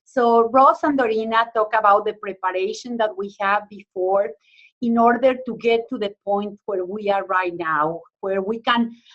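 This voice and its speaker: The speaker has a strong Mexican accent and talks at a fairly slow pace. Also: woman. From Mexico. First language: Spanish. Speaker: university extension educator. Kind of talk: webinar presentation. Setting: online webinar.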